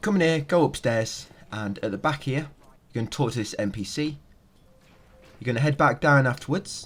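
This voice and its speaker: With long, frequent pauses, a man speaks at a fairly quick pace in a somewhat breathy, fairly high-pitched voice with lively intonation. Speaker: gaming video guide creator. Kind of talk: game walkthrough commentary.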